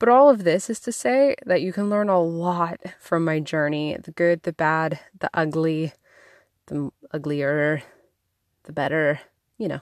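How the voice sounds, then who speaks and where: A woman with a plain, everyday voice speaks at a fairly low pitch, with lively intonation and big swings in loudness. The recording is very clean with a silent background, and the sound is dry and close with no echo. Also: fairly slow pace. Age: 30s. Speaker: podcast host. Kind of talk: casual monologue. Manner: casual, chatty.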